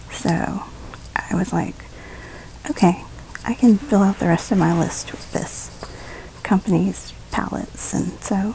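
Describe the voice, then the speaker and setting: A woman whispering in an American accent at a fairly slow pace, with long, frequent pauses and noticeable background noise. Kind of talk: beauty vlog voiceover. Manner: casual, chatty.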